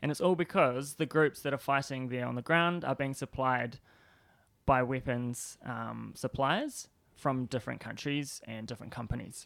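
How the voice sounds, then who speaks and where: With a New Zealand accent, a man talks at a moderate pace with ordinary pitch variation on a very clean recording with a silent background. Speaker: PhD student and disarmament activist. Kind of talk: interview. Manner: hesitant, many fillers.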